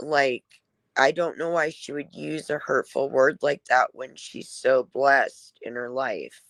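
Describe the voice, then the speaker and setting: In a dry, close recording with no echo, a woman with a very deep, low pitch speaks at a very slow pace with ordinary pitch variation. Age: 40s. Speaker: live streamer. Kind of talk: casual chat. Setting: live stream.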